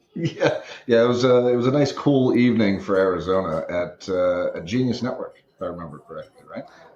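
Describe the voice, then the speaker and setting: A man with a Boston accent talks at a fairly quick pace with hardly any pauses. His loudness swings in big jumps. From Massachusetts (Quincy). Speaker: businessman and cancer survivor. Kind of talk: casual interview chat.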